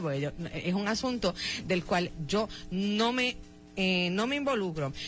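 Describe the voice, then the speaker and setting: A woman speaks at a medium pitch with very wide swings. Background noise is noticeable. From Puerto Rico, Lares (central mountain area). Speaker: radio host. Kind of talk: radio interview.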